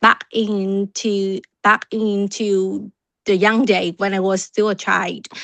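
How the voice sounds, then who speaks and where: A woman at medium pitch with a Vietnamese accent, speaking at a fairly slow pace, in a dry, close sound with no echo over a quiet background. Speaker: club member. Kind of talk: impromptu speech. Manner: halting.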